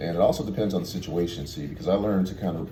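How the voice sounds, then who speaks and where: The speech runs at a very fast pace with ordinary pitch variation, amid noticeable background noise and audible room echo. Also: man. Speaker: tour bus driver. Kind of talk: casual vlog monologue. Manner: halting, many fillers.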